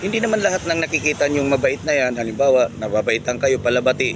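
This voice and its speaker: With noticeable background noise behind him, a man speaks at a fairly quick pace in a fairly high pitch. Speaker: vlogger. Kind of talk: casual monologue vlog. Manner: loud; halting with many fillers.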